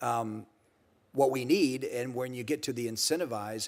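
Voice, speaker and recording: Here is a man with a normal speaking voice at medium pitch. He moves at a fairly quick pace with ordinary pitch variation. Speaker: former border protection official. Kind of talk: congressional hearing testimony.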